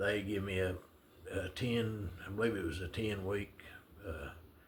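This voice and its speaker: Audible room echo surrounds a man speaking with a Southern US accent. His pitch is very deep and low, and he talks at a fairly slow pace. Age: 70s. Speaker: retiree vlogger. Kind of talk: casual storytelling monologue. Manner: halting, many fillers.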